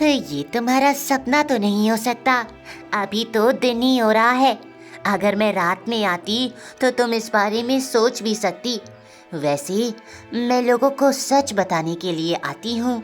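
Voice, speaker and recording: A woman performs a cartoonish character voice at a fairly high pitch. She speaks at a moderate pace with clear music in the background. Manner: calm, soothing.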